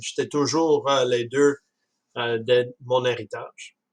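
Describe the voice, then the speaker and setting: A man's medium-pitched voice moves along very slowly. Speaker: student presenting a book report. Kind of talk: class presentation. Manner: halting, many hesitations.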